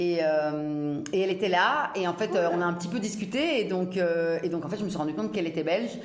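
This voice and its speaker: With noticeable background noise and audible room echo, a woman speaks in an animated tone with ordinary pitch variation. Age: 30s. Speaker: fashion entrepreneur. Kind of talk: interview.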